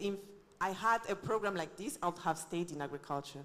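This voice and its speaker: Speaking at a fairly quick pace, a woman uses lively intonation at a medium pitch. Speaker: event emcee. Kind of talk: event hosting. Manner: loud.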